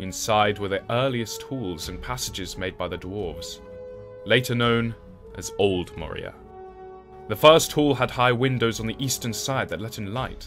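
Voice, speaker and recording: Over music in the background, a man speaks at a medium pitch and a moderate pace, with ordinary pitch variation and big swings in loudness. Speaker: voice actor. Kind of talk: documentary lore narration.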